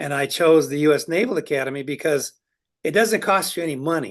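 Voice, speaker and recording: A man talks in an ordinary speaking voice at a fairly high pitch and a fairly quick pace, with ordinary pitch variation. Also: quiet background. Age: 60s. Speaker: business owner. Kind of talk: interview.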